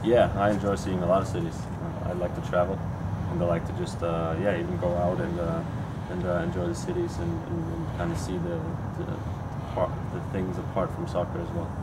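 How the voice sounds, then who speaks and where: Loud background noise fills the clip. Over it, a man talks at a fairly quick pace. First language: German. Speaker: professional soccer player. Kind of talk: press conference Q&A.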